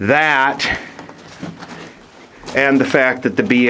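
Very slowly, a man speaks while light background noise runs underneath. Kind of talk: casual commentary. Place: tunnel cave. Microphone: phone near.

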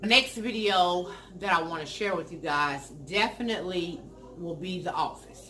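A woman speaks in a fairly low pitch. Her pace is very slow, with light background noise behind her. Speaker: lifestyle vlogger. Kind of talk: casual vlog chat. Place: home room.

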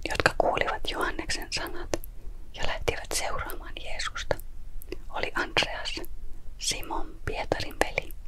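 Very slow, calm whispering with long, frequent pauses over noticeable background noise. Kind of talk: scripture reading. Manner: whispered; soft-spoken, calm.

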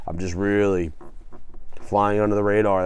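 The sound is dry with no echo. The background is quiet. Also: man. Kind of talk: casual vlog chat. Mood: reflective, earnest. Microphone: phone near.

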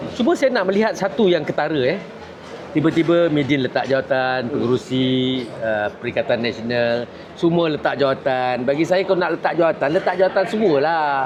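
Over noticeable background noise, a man speaks at a moderate pace with a fairly high pitch, very even loudness and lively intonation. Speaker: party information chief and political commentator. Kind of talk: interview commentary. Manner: casual, colloquial with frequent 'ha' interjections.

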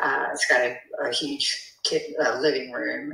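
With an American accent, a woman speaks amid audible room echo. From US South. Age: 70s. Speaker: property seller. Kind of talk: phone conversation.

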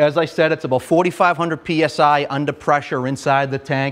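A man in a Boston accent speaks with a fairly high pitch. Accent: Boston-area. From North Quincy, Massachusetts; Massachusetts. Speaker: fire lieutenant; firefighter instructor. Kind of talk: equipment tutorial. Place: classroom. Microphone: lapel.

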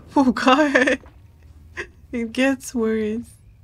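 Soft-spoken and with fairly even intonation, a woman talks as faint music plays in the background. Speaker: vtuber streamer. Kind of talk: casual gaming stream commentary.

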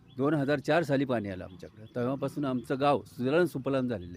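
A man's plain, everyday voice at a medium pitch. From Maharashtra, Pune district (Ambegaon). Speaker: farmer. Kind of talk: street interview.

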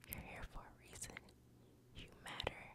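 A woman whispering. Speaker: ASMR creator. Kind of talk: ASMR positive affirmations. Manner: whispered, soft. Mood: soothing and reassuring. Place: home room. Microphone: studio mic.

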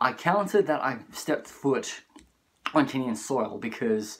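The man's voice shows ordinary pitch variation. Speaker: travel vlogger. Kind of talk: casual vlog chat. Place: home room. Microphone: phone near.

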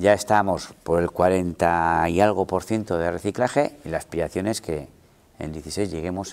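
At a moderate pace, a man with a very deep, low pitch keeps his intonation fairly even. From Basque Country, Gipuzkoa (Igeldo, San Sebastián). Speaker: mayor. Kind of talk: interview. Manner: halting. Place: office. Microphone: lapel.

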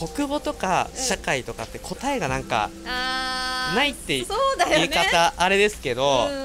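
Loud music plays in the background as a man speaks at a fairly slow pace with hardly any pauses. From Chiba, Japan. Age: 20s. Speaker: welfare worker and sanshin player. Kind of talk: interview answer, casual talk. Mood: cheerful, smiling. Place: garden. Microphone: handheld.

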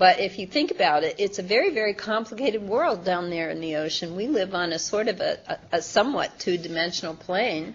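Lively in intonation, a woman with an American accent talks at a fairly quick pace with hardly any pauses. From US Midwest. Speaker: science author and former journalist; former journalist. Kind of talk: interview. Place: meeting room. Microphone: video call.

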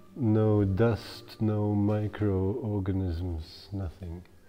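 Fairly even intonation from a man, with clear music in the background. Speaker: cave tour guide. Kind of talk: guided tour explanation. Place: tunnel cave.

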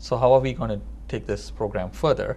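A man speaks with vocal fry over light background noise. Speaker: TV talk show host. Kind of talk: TV interview. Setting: TV studio. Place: studio. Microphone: lapel.

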